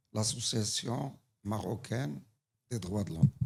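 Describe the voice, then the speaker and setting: This man talks at a very slow pace with a North African accent. Vocal fry runs through his voice. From Morocco. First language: Tamazight (speaking French). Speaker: human rights association representative. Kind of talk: audience question at conference. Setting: conference hall.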